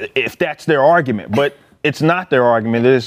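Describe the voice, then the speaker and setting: With an American accent, a man talks at a very fast pace in a medium pitch with ordinary pitch variation. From Dallas, Texas (Oak Cliff). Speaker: political commentator. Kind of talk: casual panel discussion.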